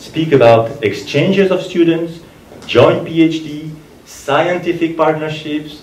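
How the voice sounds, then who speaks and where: Speaking at a fairly slow pace, a man with a French accent has a fairly high pitch, with noticeable background noise and audible room echo. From France. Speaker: ambassador. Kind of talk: formal speech.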